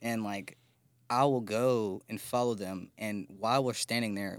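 A man with a normal speaking voice, fairly low in pitch, fairly even in intonation and moderate in pace, on a very clean recording with a silent background. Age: 20s. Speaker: musician. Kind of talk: casual chat.

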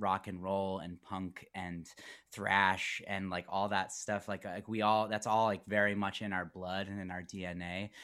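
This is a man with a fairly low pitch and a plain, everyday voice. The recording is very clean, with a silent background. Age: 30s. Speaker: rock guitarist and vocalist. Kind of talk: casual interview chat. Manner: rambling with many fillers.

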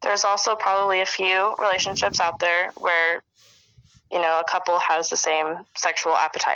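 A woman's medium-pitched, flat monotone at a moderate pace with very even loudness. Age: 20s. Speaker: microbiologist. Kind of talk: casual chat.

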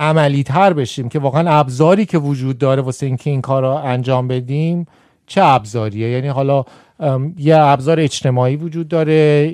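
A man with a normal speaking voice, fairly high pitch and ordinary pitch variation at a fairly quick pace, on a very clean recording with a silent background. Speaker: farmer and scientist. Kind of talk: casual chat.

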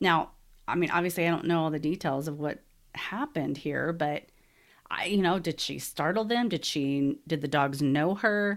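A woman with an ordinary speaking voice talks in an American accent, her pitch fairly low with ordinary variation. The recording is very clean, with a silent background. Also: moderate pace. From Texas. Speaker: podcast host. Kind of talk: casual solo podcast talk.

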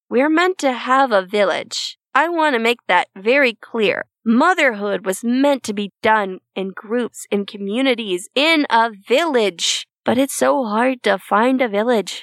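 Her fairly high pitch and lively intonation come at a fairly slow pace with hardly any pauses, and the woman's sound is dry and close with no echo. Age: 20s. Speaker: podcast host, stay-at-home mom, voice actor. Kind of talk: casual chat, podcast monologue. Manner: humorous, self-deprecating, dry humor.

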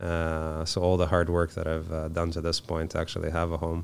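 A man speaks in a very deep, low pitch. His intonation is monotone and flat. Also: very clean recording, silent background. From Moldova. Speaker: tradesperson, finishing business owner. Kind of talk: casual interview. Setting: studio. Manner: soft-spoken.

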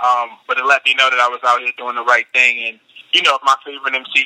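A man at medium pitch with a bright, sharp tone and a fairly quick pace, in a dry, close sound with no echo. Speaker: rapper. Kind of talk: casual interview.

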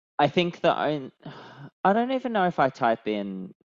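Speaking at a moderate pace, a man with an Australian accent shows very wide pitch swings. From Australia, Sydney. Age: 30s. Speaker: travel points writer. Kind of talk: casual chat. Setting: video call.

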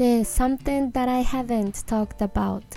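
A woman talks. Behind her voice, music can be heard. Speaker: English teacher podcaster. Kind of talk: tutorial. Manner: low-energy.

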